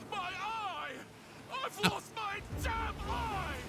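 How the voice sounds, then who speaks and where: A put-on character voice at an extremely high pitch comes through noticeable background noise. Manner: dramatic, pained.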